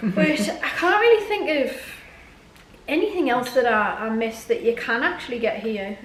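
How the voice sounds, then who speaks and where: A woman with a northeast English accent speaks at a moderate pace and a high pitch, her pitch swinging very widely, with long, frequent pauses, audible room echo and noticeable background noise. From northeast England. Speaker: YouTuber. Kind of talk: casual chat.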